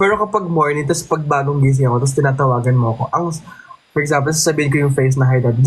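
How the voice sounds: A man's very fast speech, loudness very even, with noticeable background noise. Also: ordinary pitch variation.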